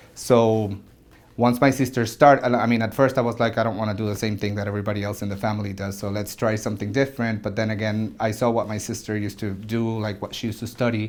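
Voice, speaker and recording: In a Spanish accent, a man with a fairly low pitch speaks very fast with monotone, flat intonation. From Venezuela, Caracas. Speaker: orthodontist. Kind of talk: interview testimony. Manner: halting.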